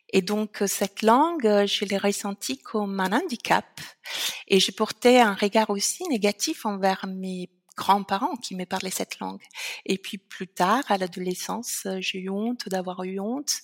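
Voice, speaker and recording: A woman with an Italian accent speaks at a fairly slow pace and medium pitch, with ordinary pitch variation and big swings in loudness. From Italy, Veneto. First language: Italian (speaking French). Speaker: founder of a language association. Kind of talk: interview. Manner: hesitant, many fillers.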